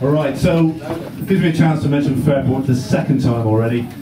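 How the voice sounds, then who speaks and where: Noticeable background noise and audible room echo around a fairly high-pitched man at a fairly quick pace with ordinary pitch variation. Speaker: fair trade advocate, community talk speaker. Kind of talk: public talk. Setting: cafe event with live audience, microphone. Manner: loud.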